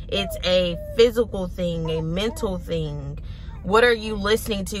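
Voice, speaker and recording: A woman speaks at a moderate pace, her voice dry with no echo over light background noise. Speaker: mom vlogger. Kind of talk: casual vlog chat. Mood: earnest, reflective. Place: car.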